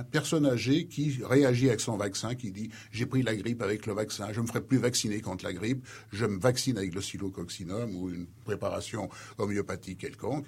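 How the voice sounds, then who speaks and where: A man speaks at a moderate pace in a medium pitch with ordinary pitch variation. His voice is somewhat breathy. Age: 60s. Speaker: retired pharmacology professor. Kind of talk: radio interview.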